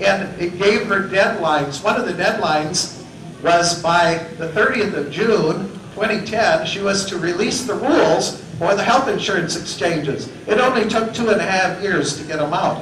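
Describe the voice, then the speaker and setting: A man's high-pitched voice with ordinary pitch variation, light background noise and audible room echo. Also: moderate pace. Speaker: author and public speaker. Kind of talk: public lecture. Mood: sarcastic, critical. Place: hall.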